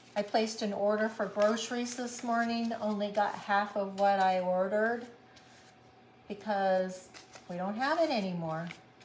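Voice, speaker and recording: A woman speaks at a moderate pace in a medium pitch with ordinary pitch variation. Audible room echo surrounds her voice. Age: 70s. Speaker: craft tutorial host. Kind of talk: casual chat; live craft tutorial.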